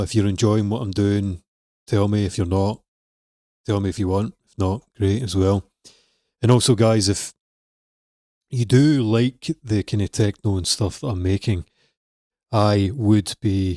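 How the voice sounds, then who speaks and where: A dark, mellow tone at a fairly slow pace, with fairly even intonation, long, frequent pauses, a dry sound with no echo and a quiet background. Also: man, fairly low pitch for a man. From Scotland. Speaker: music production coach. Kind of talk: tutorial. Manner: casual. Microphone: studio mic.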